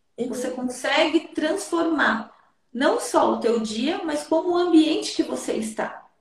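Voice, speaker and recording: A woman with a high voice speaks at a fairly slow pace and with lively intonation, and the room echo is audible. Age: 30s. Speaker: therapist. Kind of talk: advice talk in interview.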